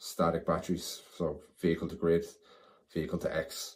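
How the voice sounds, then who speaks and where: A man with a Dublin accent. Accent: Dublin Irish. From Ireland, Dublin (Clondalkin). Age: 40s. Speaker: committee candidate, EV enthusiast. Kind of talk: candidate self-introduction video.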